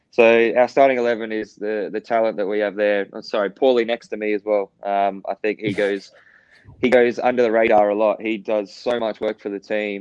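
With an Australian accent, a man speaks in a fairly low pitch and a monotone, flat intonation. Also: fairly quick pace, dry, close sound with no echo. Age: 30s. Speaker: professional footballer. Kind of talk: interview.

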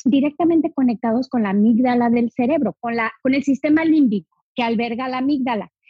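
A cheerful tone with lively intonation. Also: woman. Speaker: essential oils educator. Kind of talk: interview. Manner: cheerful, smiling.

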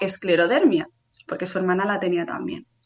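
An unremarkable speaking voice from a woman at a medium pitch. Her pitch variation is ordinary. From Spain, Barcelona. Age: 30s. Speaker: patient with a rare disease. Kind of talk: testimony. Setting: live stream.

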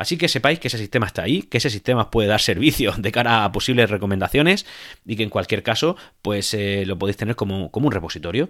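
Speaking at a very fast pace with lively intonation and a fairly low pitch, a man is heard on a very clean recording with a silent background. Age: 30s. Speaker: tech podcaster. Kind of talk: solo podcast monologue. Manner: hesitant, many repetitions and fillers.

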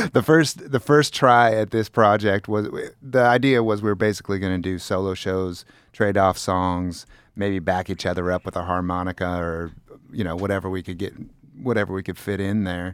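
Very deep and low, a man's voice moves at a moderate pace with ordinary pitch variation. The recording is very clean, the background silent. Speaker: musician. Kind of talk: casual chat.

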